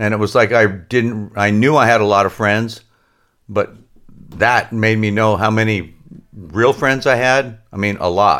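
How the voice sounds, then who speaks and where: An unremarkable speaking voice at a fairly slow pace, with fairly even intonation and very even loudness. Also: man, fairly low pitch for a man. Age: 60s. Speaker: surfboard laminator and shop owner. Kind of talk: casual interview.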